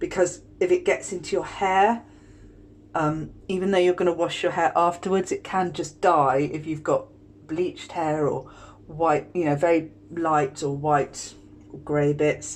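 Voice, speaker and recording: Speaking slowly-ish with fairly even intonation, a woman with a British accent has a fairly low pitch. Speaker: skincare tutorial host. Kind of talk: tutorial. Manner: casual, chatty.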